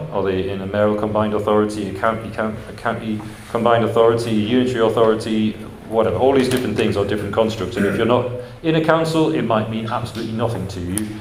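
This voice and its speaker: A man's medium-pitched voice at a very fast pace, fairly even in intonation, with noticeable background noise and audible room echo. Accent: English. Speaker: housing agency director. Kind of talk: conference presentation. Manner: hesitant with fillers.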